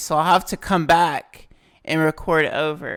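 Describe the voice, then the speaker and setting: The recording is very clean and the background silent. A woman is the speaker. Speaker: gaming YouTuber. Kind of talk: casual gameplay commentary. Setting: home recording, closed room. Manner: loud.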